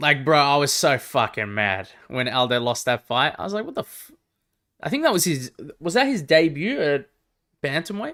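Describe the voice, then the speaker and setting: With a slight Australian accent, a man speaks in a bright, sharp tone at a fairly high pitch, his intonation lively. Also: moderate pace. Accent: mild Australian. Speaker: MMA live-stream commentator. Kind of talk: live reaction stream, casual chat with viewers. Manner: casual, animated.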